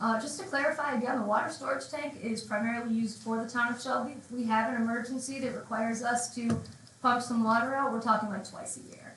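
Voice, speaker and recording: Noticeable background noise and audible room echo fill this clip. A woman with a fairly high pitch talks at a very fast pace with ordinary pitch variation. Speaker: village board trustee. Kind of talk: public comment at town board meeting. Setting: council meeting with microphone.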